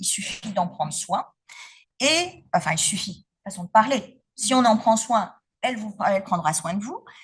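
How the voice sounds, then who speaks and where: A somewhat breathy woman speaks fairly slowly with lively intonation. Her loudness swings widely. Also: medium pitch for a woman. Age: 50s. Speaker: patient giving testimony. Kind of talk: testimony talk at symposium. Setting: symposium with audience. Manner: hesitant, many fillers.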